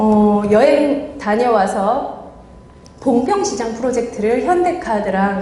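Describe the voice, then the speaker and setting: At a very slow pace, a woman talks with a fairly high pitch amid audible room echo. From Guryongpo, North Gyeongsang, Korea. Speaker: visual merchandising expert, business owner. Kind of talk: motivational lecture.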